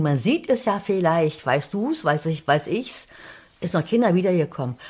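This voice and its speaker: Somewhat breathy and fairly low-pitched, a woman talks at a fairly slow pace with lively intonation. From Thuringia, eastern Germany. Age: 70s. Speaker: writer. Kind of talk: casual interview. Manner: animated.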